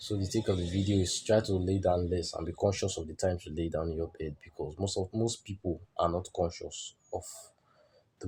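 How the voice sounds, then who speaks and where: Speaking at a fairly quick pace, a man with a very deep, low pitch has a somewhat breathy, dark, mellow tone and fairly even intonation on a very clean recording with a silent background. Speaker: self-improvement vlogger. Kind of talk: motivational monologue.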